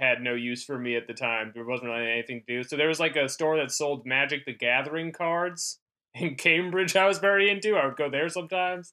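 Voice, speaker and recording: Speaking at a moderate pace with ordinary pitch variation, a man has an ordinary speaking voice with an American accent. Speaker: comedian. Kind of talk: casual chat.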